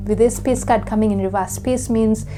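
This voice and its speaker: The speaker has a non-native accent, and the room echo is audible. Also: woman. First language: not English. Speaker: psychic tarot reader. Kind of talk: pick-a-card tarot reading. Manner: conversational, with frequent fillers.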